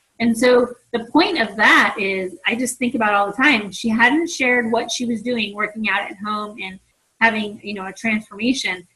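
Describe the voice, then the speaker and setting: This is a woman with an ordinary speaking voice. Her pitch is fairly high and her pace moderate. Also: ordinary pitch variation. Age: 40s. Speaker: fitness coach. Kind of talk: team conference call talk. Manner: casual, conversational.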